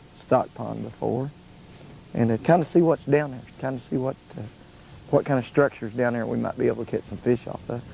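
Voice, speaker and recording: Medium-pitched male voice with a dark, mellow tone, vocal fry, ordinary pitch variation, a fairly quick pace and big swings in loudness. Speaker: fishing show host. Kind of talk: fishing show narration. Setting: outdoors.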